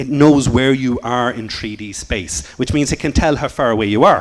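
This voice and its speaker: In an Irish accent, a man talks at a fairly quick pace with a medium pitch. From Ireland. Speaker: computer science teacher. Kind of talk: conference talk. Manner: fast.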